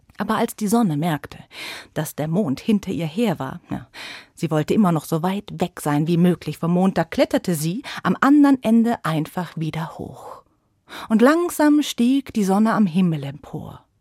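A woman's medium-pitched voice, gentle and warm in tone and somewhat breathy, with very wide pitch swings in a very clean recording with a silent background. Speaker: storyteller. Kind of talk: bedtime story telling for children. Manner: soft, gentle, slow and warm; animated, voicing characters with dramatic shifts.

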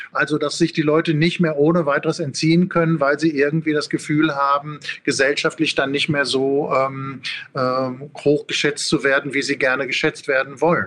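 His fairly high voice stays monotone and flat, and his loudness is very even throughout. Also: moderate pace. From Ruhr area, Germany. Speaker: philosophy professor. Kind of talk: interview.

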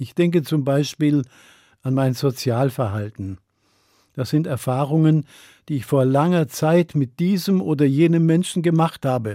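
A man speaks at a moderate pace in a fairly high pitch with a dark, mellow tone, and the sound is dry and close with no echo. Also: very clean recording, silent background. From Germany, Upper Swabia. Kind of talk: radio sermon.

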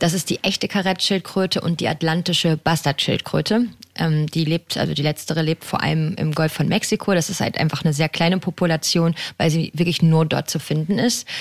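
An unremarkable speaking voice from a woman, fairly low in pitch and fairly quick, with fairly even intonation, very even loudness and a dry, close sound with no echo. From western Germany (Haltern am See, NRW). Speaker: marine biologist. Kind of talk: radio interview.

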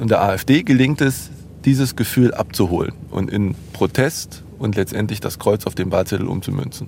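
A man speaks at a moderate pace in a medium pitch. His voice is somewhat breathy. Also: ordinary pitch variation. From Jena, Thuringia, eastern Germany. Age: 40s. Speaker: journalist. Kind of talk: interview. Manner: hesitant, with fillers.

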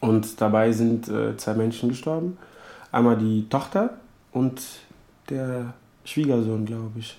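A man with a non-native accent speaks at a very slow pace and a medium pitch. His tone is dark and mellow, and his intonation fairly even. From Africa. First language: not German (speaking German). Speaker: refugee. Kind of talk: interview monologue.

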